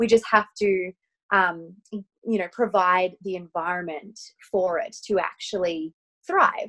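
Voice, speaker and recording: With an Australian accent, a woman talks at a fairly slow pace and fairly even intonation, recorded with a dry, close sound with no echo. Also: medium pitch for a woman. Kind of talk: casual interview chat.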